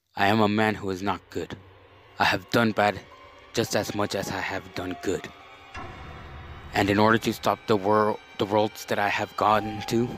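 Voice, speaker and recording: Over music in the background, a man speaks at a fairly slow pace in a fairly low pitch. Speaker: story reader. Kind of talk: horror story reading.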